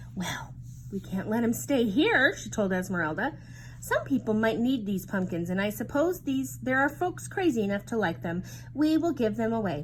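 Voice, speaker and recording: A woman puts on a rumbling character voice at a medium pitch. She speaks at a moderate pace with clear background noise. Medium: read story. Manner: grumbling, brisk.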